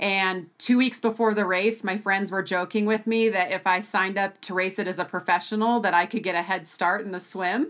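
Speaking in a plain, everyday voice at a medium pitch, a woman with an American accent goes at a fairly quick pace with fairly even intonation and hardly any pauses, on a very clean recording with a silent background. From US Pacific Northwest (Bend, Oregon). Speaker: professional triathlete. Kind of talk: interview conversation.

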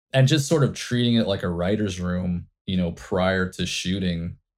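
A man with an American accent talks at a fairly quick pace in an ordinary speaking voice, his fairly low pitch moving with lively intonation on a very clean recording with a silent background. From Indiana. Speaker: advertising creative director. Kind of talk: interview.

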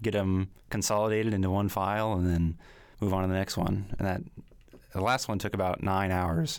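A man with a normal speaking voice talks in a fairly low pitch with fairly even intonation, on a very clean recording with a silent background. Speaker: music graduate student. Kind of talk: interview conversation.

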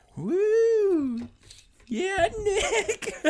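An extremely high-pitched put-on character voice is shouting. It is loud. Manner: loud, excited yell.

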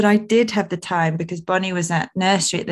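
Speaking very fast with an ordinary pitch variation, a woman with a British accent comes through in a very clean recording with a silent background. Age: 30s. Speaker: podcast host and wellbeing coach. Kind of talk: solo personal reflection podcast.

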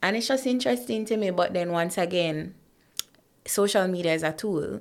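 On a very clean recording with a silent background, a woman talks at a very fast pace. She has a fairly low pitch and speaks with a Jamaican accent. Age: 30s. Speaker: corporate professional and motivational speaker. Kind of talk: casual interview.

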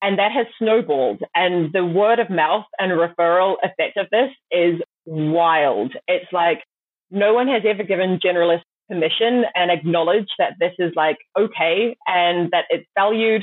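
Her pitch medium and her loudness very even, a woman with a New Zealand accent speaks at a fairly slow pace. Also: ordinary pitch variation. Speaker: startup founder. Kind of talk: interview.

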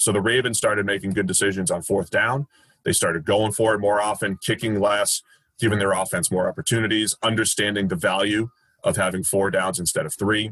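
A man with an American accent and a plain, everyday voice: fairly low pitch, fairly quick pace, fairly even intonation, very even loudness, dry, close sound with no echo. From Boston, US. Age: 30s. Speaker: football analyst, former baseball player. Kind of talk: podcast interview.

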